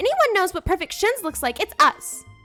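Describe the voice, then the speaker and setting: A put-on character voice, squeaky and extremely high in pitch, rattles along at a fairly quick pace over faint music in the background. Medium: solo performance. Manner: playful.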